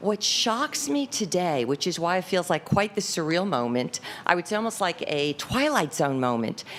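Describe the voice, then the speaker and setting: A woman's fairly low voice makes very wide pitch swings. Her loudness stays very even. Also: moderate pace, hardly any pauses. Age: 60s. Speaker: public commenter. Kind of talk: unprepared public comment.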